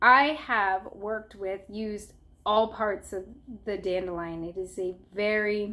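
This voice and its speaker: A woman speaks at a fairly slow pace with a medium pitch. Her intonation is fairly even, and her tone is bright and sharp. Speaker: herbalist YouTuber. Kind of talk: tutorial. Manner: casual, with fillers.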